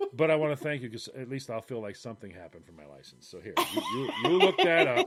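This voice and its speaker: Delivered at a very fast pace, the speech has lively intonation and big swings in loudness over noticeable background noise. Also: man, medium pitch for a man. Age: 50s. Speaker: podcast co-host. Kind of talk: casual chat.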